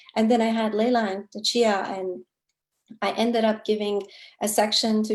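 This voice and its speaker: Speaking in a Kurdish accent, a woman with a fairly high voice keeps a moderate pace and monotone, flat intonation. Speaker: novelist. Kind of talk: author interview.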